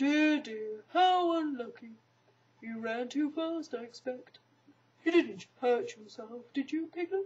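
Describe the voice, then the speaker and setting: A woman's high, put-on character voice. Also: fairly slow pace. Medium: read story. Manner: slow, gloomy, downbeat.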